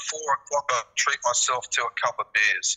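Moving at a fairly quick pace, a man talks in an Australian accent. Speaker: former footballer and football agent. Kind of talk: casual interview.

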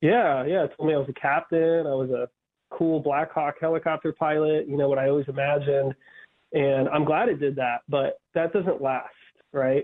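This man's voice sits fairly high and keeps a very even loudness. He talks at a moderate pace with fairly even intonation. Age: 30s. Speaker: army veteran and author. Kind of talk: radio interview. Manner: earnest, intense.

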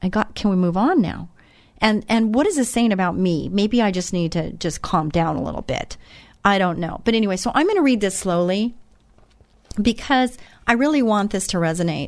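Over a quiet background, the speaker moves at a fairly quick pace with lively intonation. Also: woman, medium pitch for a woman. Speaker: radio host. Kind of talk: faith-based radio talk. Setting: studio. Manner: fast.

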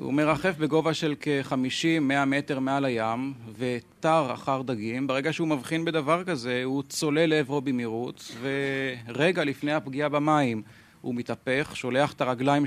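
Using a plain, everyday voice, a man speaks at a moderate pace with hardly any pauses. His pitch is fairly high and his intonation fairly even, on a very clean recording with a silent background. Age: young. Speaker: birdwatcher and wildlife photographer. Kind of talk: explanation to audience. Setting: stage with audience. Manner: formal.

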